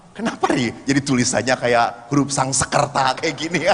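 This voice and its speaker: An animated man speaks at a moderate pace with noticeable background noise. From Bandung, West Java. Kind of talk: religious talk to congregation. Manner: animated, humorous storytelling.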